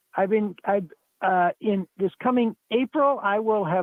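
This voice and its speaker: Here a man talks at a high pitch with ordinary pitch variation. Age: 70s. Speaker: retired geocacher, caller. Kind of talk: casual chat. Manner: halting, many fillers.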